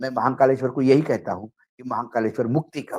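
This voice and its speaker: This man's voice sits at a medium pitch and carries a dark, mellow tone. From Maharashtra, India. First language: Marathi (speaking Hindi). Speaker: political journalist. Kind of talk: political talk show discussion.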